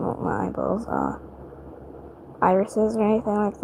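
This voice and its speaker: Soft-spoken and fairly high-pitched, a woman talks over noticeable background noise. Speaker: livestreamer drawing digital art. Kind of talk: casual livestream chat while drawing. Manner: quiet, speaking softly at night; hesitant with many fillers.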